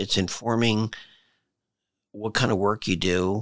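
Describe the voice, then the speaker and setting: Fairly even in intonation, a man talks in an unremarkable speaking voice at a fairly low pitch. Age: 60s. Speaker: leadership coach and author. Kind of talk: interview. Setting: studio.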